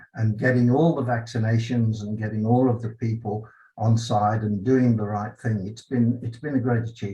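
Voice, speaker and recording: Monotone, flat speech from a man at a moderate pace, medium in pitch, with a dark, mellow tone and a somewhat breathy quality. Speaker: franchise business owner. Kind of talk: award acceptance interview.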